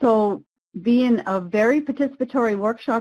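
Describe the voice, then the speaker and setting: At a fairly slow pace, a woman with an American accent talks in a plain, everyday voice with ordinary pitch variation. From Maine, US (Passamaquoddy community). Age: 50s. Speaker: webinar facilitator. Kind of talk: webinar presentation. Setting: online webinar.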